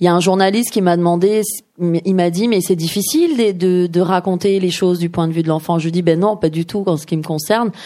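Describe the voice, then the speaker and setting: At a fairly quick pace, a woman with a normal speaking voice talks at a fairly low pitch with fairly even intonation. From Iran, raised in Paris from age 6. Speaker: novelist. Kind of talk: author talk at a bookshop. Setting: bookshop event with audience.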